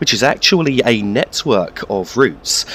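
A man speaks with very wide swings in pitch. Noticeable background noise sits behind him. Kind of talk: game walkthrough commentary. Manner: calm, explanatory.

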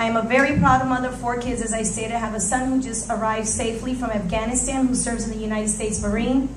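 Amid light background noise and audible room echo, a woman speaks very fast at a fairly high pitch in a monotone, flat intonation. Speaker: city council candidate, business owner; council candidate. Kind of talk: candidate opening statement. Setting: church hall with audience. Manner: formal. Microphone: podium.

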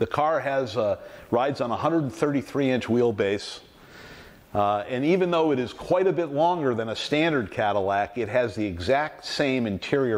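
The speech moves at a moderate pace. Its intonation is lively. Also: man. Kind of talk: show-and-tell explanation. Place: garage. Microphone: lapel.

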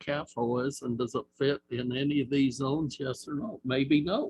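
A man with an American accent speaks in a fairly high, somewhat breathy voice with fairly even intonation, recorded with a dry, close sound and no echo. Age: 70s. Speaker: planning commissioner. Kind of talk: public meeting discussion.

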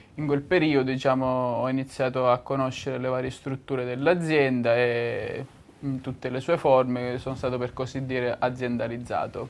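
Moderate speed and flat, monotone delivery from a man with a medium-pitched voice. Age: 20s. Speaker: software engineer. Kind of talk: corporate testimonial. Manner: halting, with fillers. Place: office.

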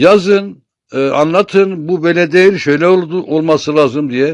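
On a very clean recording with a silent background, a man talks at a moderate pace in a high pitch with ordinary variation. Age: 60s. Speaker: poet and columnist. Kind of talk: informal talk to camera on literature. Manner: halting, many filler sounds.

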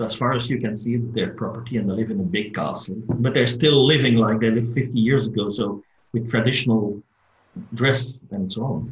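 Against a quiet background with audible room echo, a man speaks at a moderate pace in a somewhat breathy voice with fairly even intonation. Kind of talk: casual group video call. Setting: video call. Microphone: video call.

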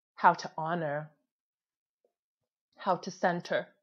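Speaking at a very slow pace in a fairly low pitch for a woman, she keeps a monotone, flat intonation against a quiet background. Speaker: spoken word poet. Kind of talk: spoken word performance. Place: home room. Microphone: earbuds.

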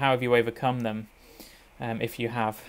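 A man speaks at a medium pitch. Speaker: podcast host for medical supplier. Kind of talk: interview. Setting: home study. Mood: warm, polite. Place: home room. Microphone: earbuds.

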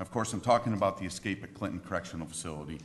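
A man talks at a very fast pace, with light background noise. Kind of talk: formal testimony. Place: hall. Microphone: podium.

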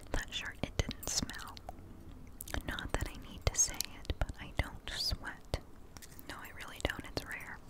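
A soft-spoken woman's whisper at a fairly slow pace. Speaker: ASMR creator. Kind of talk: soft casual chat. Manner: close soft whisper into microphone. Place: home room. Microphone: studio mic.

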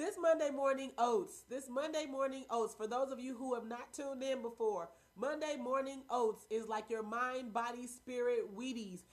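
Her tone is animated and upbeat, her pitch high. The woman keeps a moderate pace. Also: ordinary pitch variation. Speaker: wellness vlogger. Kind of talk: casual live motivational talk. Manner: animated, upbeat.

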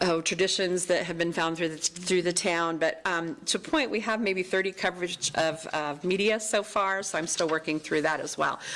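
With hardly any pauses, a woman speaks at a fairly low pitch and ordinary pitch variation. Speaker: town events staff member. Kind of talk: staff report at council meeting. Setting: town council meeting. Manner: fast; halting, many ums.

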